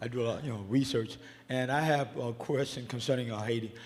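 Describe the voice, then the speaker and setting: At a very fast pace, a man with a dark, mellow, medium-pitched voice speaks with fairly even intonation amid audible room echo. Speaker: audience member. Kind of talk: audience question.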